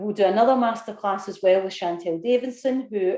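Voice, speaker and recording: Moderate pace in a Scottish accent. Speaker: business consultant and course leader. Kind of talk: webinar sales pitch. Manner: casual, with fillers.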